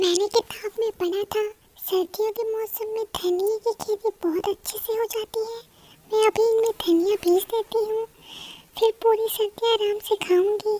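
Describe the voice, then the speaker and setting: A cartoonish character voice from a woman, extremely high in pitch, monotone and flat, at a moderate pace. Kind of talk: children's cartoon voice acting. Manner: earnest, expressive.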